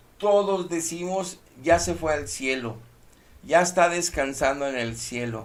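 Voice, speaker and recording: Amid audible room echo, a man with a fairly high pitch talks at a fairly slow pace, his intonation lively. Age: 60s. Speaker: preacher. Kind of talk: sermon. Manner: emphatic.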